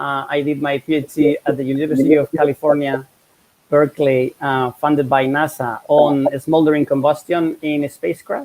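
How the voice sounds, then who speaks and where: A man speaks with a Spanish accent at a fairly high pitch. His intonation stays flat and monotone. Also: moderate pace. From Spain. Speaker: professor. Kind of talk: interview.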